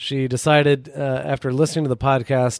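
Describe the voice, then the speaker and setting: An ordinary speaking voice from a man at medium pitch, fairly slow, on a very clean recording with a silent background. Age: 40s. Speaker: podcast co-host. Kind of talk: casual chat.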